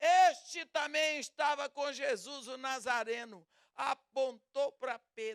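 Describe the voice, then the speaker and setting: A woman speaks at a very slow pace with a high pitch. Her pitch variation is ordinary, with big swings in loudness. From Brazil. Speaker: preacher. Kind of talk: sermon.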